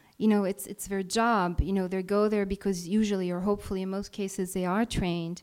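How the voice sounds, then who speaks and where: Hardly pausing, a woman speaks in a monotone, flat intonation in a very clean recording with a silent background. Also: medium pitch for a woman. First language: Italian. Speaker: freelance journalist. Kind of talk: live talk to an audience. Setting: stage with audience.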